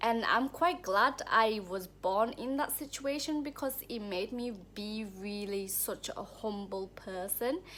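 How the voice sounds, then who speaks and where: In a Thai accent, a woman with a fairly high pitch and a bright, sharp tone speaks fairly slowly with lively intonation. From Thailand, rural countryside. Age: 20s. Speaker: spiritual vlogger. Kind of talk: personal life story monologue. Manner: casual, with many fillers.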